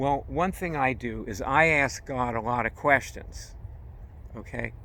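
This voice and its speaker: There is vocal fry in this man's voice. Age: 70s. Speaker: spiritual teacher. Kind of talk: spiritual talk. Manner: casual, halting.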